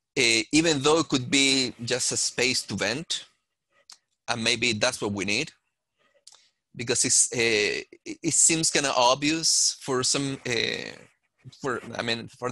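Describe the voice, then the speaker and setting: This man has a medium pitch and a bright, sharp tone. He talks at a fairly slow pace with ordinary pitch variation. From Chile. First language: Spanish. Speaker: panelist. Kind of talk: panel discussion. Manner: halting, many fillers.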